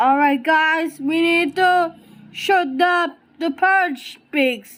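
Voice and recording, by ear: A woman does a put-on character voice at an extremely high pitch, fairly bright in tone and very slow in pace. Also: ordinary pitch variation.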